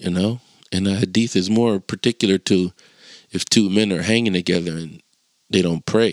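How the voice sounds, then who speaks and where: A man with a very deep, low pitch talks at a moderate pace on a very clean recording with a silent background and a dry, close sound with no echo. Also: fairly even intonation. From Chester, Pennsylvania, US. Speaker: podcast host. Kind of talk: casual monologue. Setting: solo recording with passing traffic. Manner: casual.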